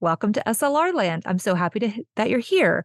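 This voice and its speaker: A woman with a Texan accent, dry and close with no echo, against a quiet background. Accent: Texan American. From Texas. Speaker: podcast host, small business owner. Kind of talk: casual solo podcast talk. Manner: animated.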